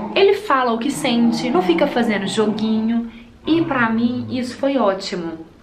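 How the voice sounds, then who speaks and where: Noticeable background noise and audible room echo surround this recording. A woman speaks at a fairly high pitch. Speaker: beauty vlogger. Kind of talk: casual chat while doing makeup. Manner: fast.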